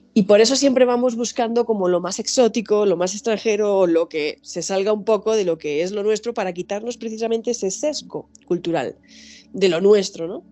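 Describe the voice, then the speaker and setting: Music plays behind a woman speaking in a Spanish accent at a moderate pace. Her tone is animated, medium in pitch, with ordinary pitch variation. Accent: Spanish (Spain). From Spain. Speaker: anthropologist and author. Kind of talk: interview.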